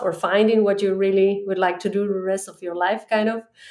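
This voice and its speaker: At a fairly quick pace, a woman talks in a medium pitch with monotone, flat intonation. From Ecuador. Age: 30s. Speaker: head of data. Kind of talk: interview conversation. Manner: halting.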